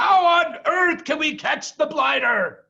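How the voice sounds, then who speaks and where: High pitch and a fairly slow tempo in a put-on character voice. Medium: read story.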